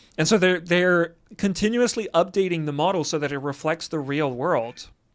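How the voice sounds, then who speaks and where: A man's high-pitched voice at a moderate pace with ordinary pitch variation, in a very clean recording with a silent background. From France, Normandy. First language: French. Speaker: video game streamer. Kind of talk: live stream commentary. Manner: casual, many fillers and restarts.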